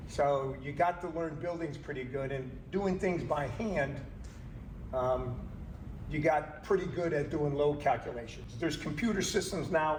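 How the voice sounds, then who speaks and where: With noticeable background noise and audible room echo, a man speaks at a moderate pace in a fairly high pitch and ordinary pitch variation. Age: 60s. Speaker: HVAC engineer and company trainer. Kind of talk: training lecture. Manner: casual, conversational.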